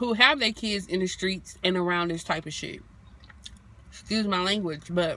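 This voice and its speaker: The voice comes through bright and sharp at a fairly slow pace, with a dry sound and no echo. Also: woman. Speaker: vlogger. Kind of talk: casual vlog chat. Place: car. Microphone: phone near.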